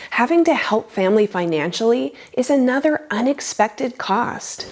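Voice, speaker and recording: An unremarkable speaking voice belongs to a woman. She keeps a moderate pace with lively intonation. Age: 50s. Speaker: personal finance youtuber. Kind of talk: scripted narration.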